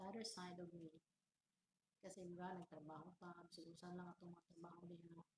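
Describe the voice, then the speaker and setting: Her voice is somewhat breathy and fairly low for a woman. She speaks in a monotone, flat way. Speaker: livestreamer. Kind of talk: casual livestream chat. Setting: office. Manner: soft-spoken, deliberately quiet; halting, repetitive.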